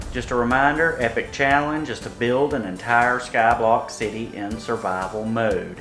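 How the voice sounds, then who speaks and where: Music plays in the background as a man talks. He keeps a moderate pace with hardly any pauses and ordinary pitch variation. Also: medium pitch for a man. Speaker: gaming video host. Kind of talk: game commentary.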